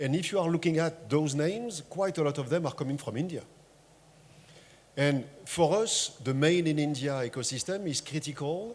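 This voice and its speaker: With a French accent, a man speaks at a moderate pace. His fairly high pitch shows ordinary variation. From France. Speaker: tech industry panelist. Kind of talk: panel discussion.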